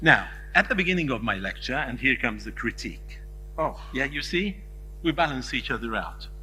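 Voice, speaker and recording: Fairly fast delivery from a man, room echo clearly audible. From Hungary. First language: Hungarian. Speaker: conference keynote speaker. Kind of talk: lecture.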